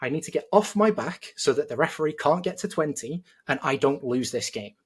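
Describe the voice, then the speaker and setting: Lively intonation marks this man's speech. He talks in a British accent. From Britain. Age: 30s. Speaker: judo coach. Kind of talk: heated debate.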